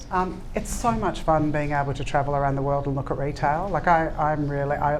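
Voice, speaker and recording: A woman speaks with a very deep, low pitch. Noticeable background noise and audible room echo surround her voice. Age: 60s. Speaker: ceramics brand founder. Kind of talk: panel talk answering audience questions. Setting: live event with audience.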